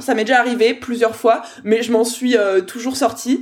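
A woman speaks with a high pitch at a fairly slow pace. Her tone is animated. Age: 20s. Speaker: business coach. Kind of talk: interview.

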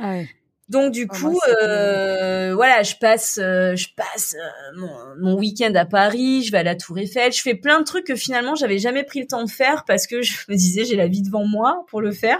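A woman speaks with an unremarkable speaking voice at a fairly high pitch. Her moderate pace and lively intonation come through on a very clean recording with a silent background. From southern France. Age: 30s. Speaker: entrepreneur and cancer survivor. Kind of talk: casual interview.

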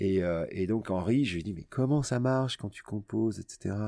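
Dry and close with no echo, a man's fairly low voice moves at a moderate pace with ordinary pitch variation. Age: 50s. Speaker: radio host. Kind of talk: casual chat. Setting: studio.

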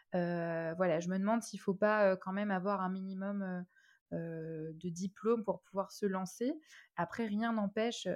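Fairly even intonation and a fairly slow pace come through over a quiet background. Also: woman. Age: 20s. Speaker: concierge business owner. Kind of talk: interview. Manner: hesitant, many fillers.

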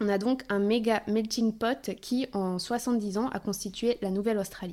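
A woman speaks with a fairly high pitch and ordinary pitch variation. Her tone is dark and mellow, recorded very cleanly against a silent background. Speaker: podcast host. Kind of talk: podcast interview, intro narration.

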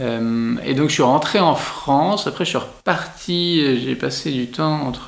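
Male voice over noticeable background noise. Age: 40s. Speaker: entrepreneur. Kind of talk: interview. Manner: hesitant, many fillers.

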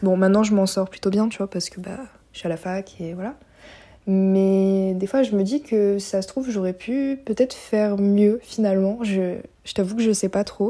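A woman speaks at medium pitch with a dark, mellow tone and fairly even intonation. Her moderate pace comes through in a very clean recording with a silent background. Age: 20s. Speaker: university student. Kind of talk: testimony. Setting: recorded voice messages.

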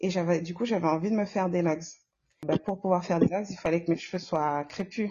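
Somewhat breathy and fairly low in pitch, a woman speaks at a fairly quick pace with fairly even intonation. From Comoros. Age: 40s. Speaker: nurse. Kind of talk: casual interview.

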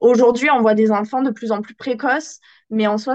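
Using a plain, everyday voice, a woman talks at a fairly slow pace with fairly even intonation. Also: quiet background. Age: 20s. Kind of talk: interview.

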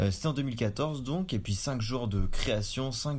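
A somewhat breathy male voice. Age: 20s. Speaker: podcast co-host. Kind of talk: casual chat. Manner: halting.

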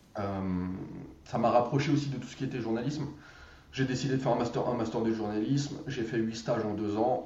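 A man at a moderate pace with ordinary pitch variation, audible room echo and noticeable background noise. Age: 30s. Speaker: growth hacker and trainer. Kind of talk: casual interview.

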